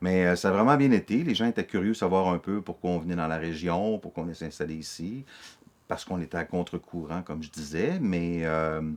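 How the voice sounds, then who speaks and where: Fairly quick in pace, a man speaks with a very deep, low pitch and ordinary pitch variation. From Quebec (Montreal, Laval). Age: 50s. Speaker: interviewee, newcomer to the region. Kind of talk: documentary interview. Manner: hesitant, many fillers.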